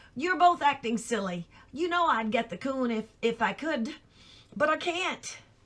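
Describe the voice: A woman puts on a gruff character voice, pitched high. She speaks at a moderate pace with very wide pitch swings.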